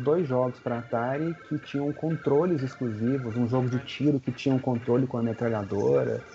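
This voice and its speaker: Over noticeable background noise, a man speaks at a medium pitch. His pace is fairly quick, with hardly any pauses. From Minas Gerais, Brazil (Belo Horizonte). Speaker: retro video game collector. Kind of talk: casual chat.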